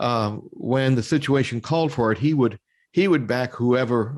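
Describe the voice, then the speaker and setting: In a very clean recording with a silent background, a man uses a normal speaking voice with ordinary pitch variation. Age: 60s. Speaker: interview show host. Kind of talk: interview.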